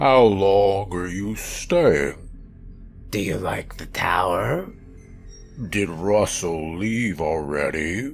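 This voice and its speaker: A man's put-on character voice, fairly low in pitch and very slow, with long, frequent pauses over clear music in the background. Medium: read story. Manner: inquisitive, neighborly.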